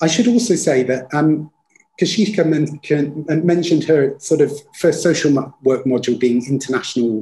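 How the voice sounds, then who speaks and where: At a moderate pace, a man speaks in a somewhat breathy voice with a dark, mellow tone. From Leicester, England; England. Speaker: university dean; presenter. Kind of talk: panel discussion. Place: home room. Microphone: webcam.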